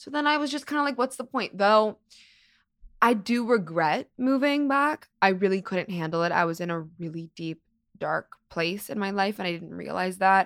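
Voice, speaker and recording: A woman with an American accent speaks at a moderate pace in a medium pitch, her voice swinging very widely, in a very clean recording with a silent background. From US West Coast, Los Angeles. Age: 20s. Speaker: model and actress. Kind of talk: casual interview chat. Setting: studio.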